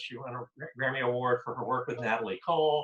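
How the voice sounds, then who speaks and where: A man with ordinary pitch variation. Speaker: moderator. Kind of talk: interview. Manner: fast.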